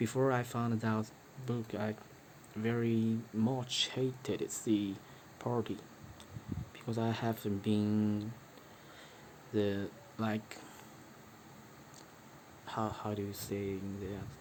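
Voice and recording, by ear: A man speaks slowly in a fairly low voice with a slightly mellow tone and little pitch movement. His pauses are long and frequent.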